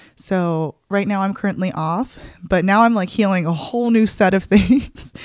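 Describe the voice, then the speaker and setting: The speaker's tone is animated, the sound dry with no echo against a quiet background. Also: woman. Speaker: podcast host. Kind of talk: casual solo podcast update. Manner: fast talker; animated, excitable. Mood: relaxed, candid, personal. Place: home room. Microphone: studio mic.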